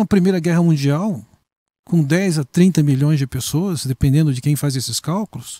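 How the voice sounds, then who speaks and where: Heard dry and close with no echo, a man with a dark, mellow tone and a fairly high pitch talks at a moderate pace with lively intonation. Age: 60s. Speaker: pastor. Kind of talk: interview conversation.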